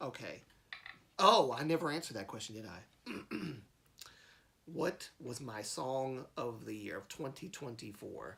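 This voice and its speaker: A man with an American accent speaks at medium pitch and a fairly slow pace, with long, frequent pauses, a bright, sharp tone, vocal fry and big swings in loudness. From US South, Alabama. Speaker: live streamer. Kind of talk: casual live stream chat. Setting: live stream. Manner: stutters when mad; halting, many fillers.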